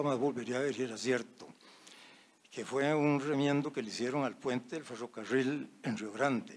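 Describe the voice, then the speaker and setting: This is a plain, everyday voice at a moderate pace. Its intonation stays fairly even. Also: man. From Costa Rica, Alajuela. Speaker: engineer. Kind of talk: anecdote telling. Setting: audience floor microphone.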